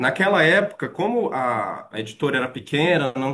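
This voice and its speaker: This man's intonation is lively. His voice sits fairly high in pitch. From Maranhão, northeastern Brazil. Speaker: tourism researcher and lecturer. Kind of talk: lecture. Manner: hesitant fillers.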